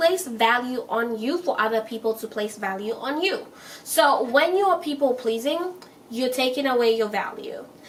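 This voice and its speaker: With noticeable background noise, a woman speaks at a moderate pace in a high pitch, her tone animated and her intonation lively. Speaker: self-help vlogger. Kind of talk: casual advice monologue.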